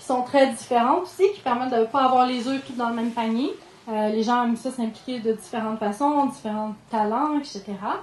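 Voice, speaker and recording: A woman with a Quebec accent, high in pitch, with fairly even intonation. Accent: Québécois French. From Quebec, Ham-Nord. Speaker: sustainable development coordinator. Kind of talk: conference talk. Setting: conference room with audience. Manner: fast; hesitant fillers.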